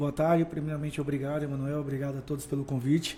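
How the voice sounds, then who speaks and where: A man with a Bahian accent and a fairly high voice. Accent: Bahian (northeastern Brazilian). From Brazil, Bahia (Feira de Santana). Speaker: motivational speaker, former footballer. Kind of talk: podcast interview.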